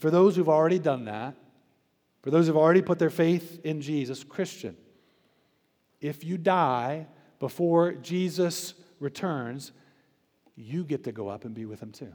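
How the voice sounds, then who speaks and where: Speaking with an American accent at a moderate pace, a man with a fairly high pitch and a dark, mellow tone uses ordinary pitch variation and takes long, frequent pauses. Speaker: pastor. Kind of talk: sermon. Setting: church. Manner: earnest, building to passionate exhortation, pleading tone.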